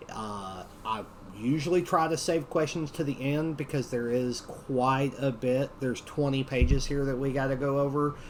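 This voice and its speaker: A man with a Southern Appalachian accent talks at a moderate pace, his fairly high voice showing ordinary pitch variation. Audible room echo surrounds his speech. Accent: Southern Appalachian (Tennessee mountains). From US South, mountains of Tennessee. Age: 40s. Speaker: training instructor. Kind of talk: lecture.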